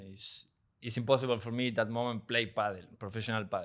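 A medium-pitched man with a Spanish accent on a very clean recording with a silent background. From Argentina, Quilmes (Buenos Aires). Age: 30s. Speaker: professional padel player. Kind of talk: interview. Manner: halting.

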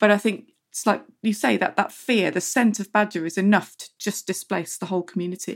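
Speaking with an English accent at a medium pitch, a woman goes at a fairly quick pace with hardly any pauses, fairly even intonation, and big swings in loudness, in a very clean recording with a silent background. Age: 40s. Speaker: magazine wildlife editor. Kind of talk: interview.

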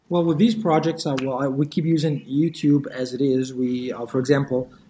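This man has an ordinary speaking voice pitched fairly high. His intonation stays fairly even. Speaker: language teacher and YouTuber. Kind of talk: casual interview.

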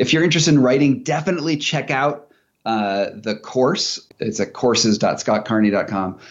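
In an unremarkable speaking voice, a man talks with lively intonation at a medium pitch. His pace is moderate. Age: 40s. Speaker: investigative journalist and author. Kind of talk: casual interview chat.

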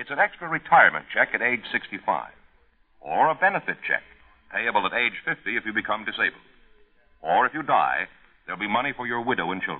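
A man talks at a fairly quick pace yet leaves long, frequent pauses. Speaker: announcer. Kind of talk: public service announcement. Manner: formal, earnest.

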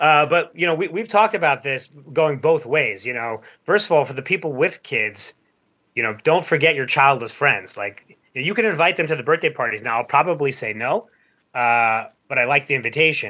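Speaking at a fairly quick pace with lively intonation, a man with a plain, everyday voice sits fairly high in pitch. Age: 40s. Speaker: podcaster on male friendship. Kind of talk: radio interview.

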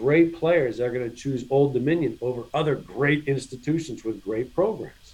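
His pace is fairly quick and his pitch varies in an ordinary way. The man's voice has some breathiness. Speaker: college tennis coach. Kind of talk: interview.

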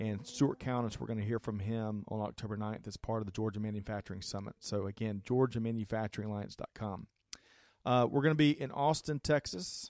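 With a normal speaking voice, a man of fairly low pitch talks at a fairly quick pace with ordinary pitch variation, a dry, close sound with no echo, and a quiet background. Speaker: radio host. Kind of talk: casual radio show hosting. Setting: live broadcast in a studio.

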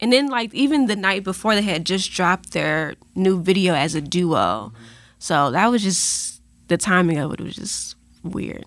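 Over a very clean recording with a silent background, a woman with a medium pitch and vocal fry talks at a moderate pace with lively intonation. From US Midwest, Chicago. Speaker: newspaper culture reporter. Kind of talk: casual chat.

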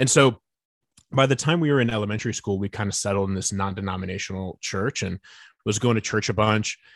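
A man with an American accent and a fairly low pitch talks at a very fast pace with ordinary pitch variation, in a dry, close sound with no echo and a quiet background. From US Midwest, northeast Indiana (Fort Wayne). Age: 30s. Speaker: author on social media and faith. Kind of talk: casual interview.

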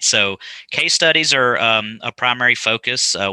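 The voice has a bright, sharp tone with a West Texas accent. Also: man, dry, close sound with no echo, very clean recording, silent background. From West Texas, small town. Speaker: benefits advisor. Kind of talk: podcast interview.

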